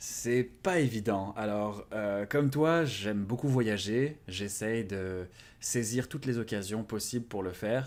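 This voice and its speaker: A man at a very slow pace and fairly low pitch, with ordinary pitch variation, in a very clean recording with a silent background. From France. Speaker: YouTuber on language learning. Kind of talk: interview. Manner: hesitant, many fillers.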